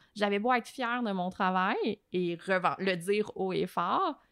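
In a Quebec accent, a woman of medium pitch talks at a fairly slow pace with ordinary pitch variation, recorded very cleanly against a silent background with a dry, close sound and no echo. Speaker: journalist and TV host. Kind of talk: podcast interview. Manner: animated.

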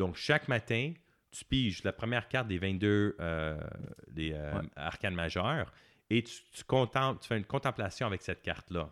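A man with an unremarkable speaking voice, fairly low pitch, lively intonation and a fairly slow pace, on a very clean recording with a silent background. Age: 40s. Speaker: tarot and meditation teacher, author. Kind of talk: casual interview.

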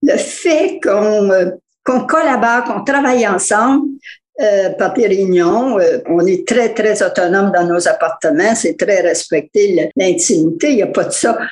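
A woman speaks very slowly with a fairly high pitch. Her pitch swings very widely. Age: 80s+. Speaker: retired co-op tenant. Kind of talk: testimony. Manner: halting.

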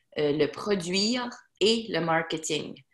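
The woman's voice has ordinary pitch variation. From Acadian Peninsula, New Brunswick. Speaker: self-published novelist. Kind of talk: casual interview.

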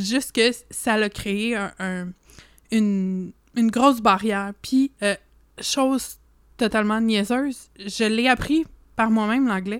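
A woman with a Quebec accent talks at a very slow pace with long, frequent pauses and fairly even intonation. The recording is very clean and the background silent. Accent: French-Canadian. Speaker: podcast co-host. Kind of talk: casual chat.

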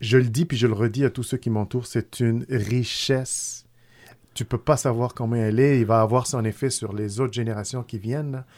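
Over a silent background in a very clean recording, a man with an Arabic accent speaks at a moderate pace in a medium pitch with fairly even intonation. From Tunisia. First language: Arabic (speaking French). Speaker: food company founder. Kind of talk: casual chat. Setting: studio.

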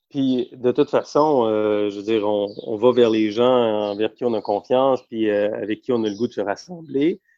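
With a plain, everyday voice, a man speaks at a medium pitch and a moderate pace, with ordinary pitch variation and hardly any pauses. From Quebec (Montreal, Hochelaga-Maisonneuve, and Eastern Townships). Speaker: economics journalist. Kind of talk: casual interview.

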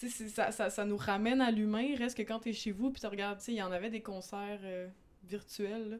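Fairly high-pitched woman with a Quebec accent on a very clean recording with a silent background. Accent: Québécois French. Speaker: podcast host. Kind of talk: casual chat.

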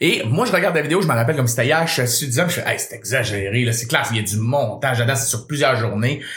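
A man with a Quebec accent talks in an animated tone at a very fast pace with hardly any pauses. Audible room echo and noticeable background noise fill the recording. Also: medium pitch for a man, ordinary pitch variation. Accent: Québécois French. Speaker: radio host and comedian. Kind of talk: casual chat.

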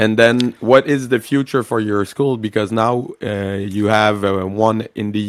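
With a Quebec French accent, a man talks at a fairly slow pace in a medium pitch with ordinary pitch variation. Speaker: podcast host. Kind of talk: interview.

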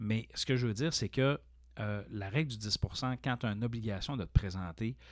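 On a very clean recording with a silent background, a man speaks in a fairly low pitch. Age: 40s. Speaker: college teacher and podcast host. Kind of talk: casual interview chat.

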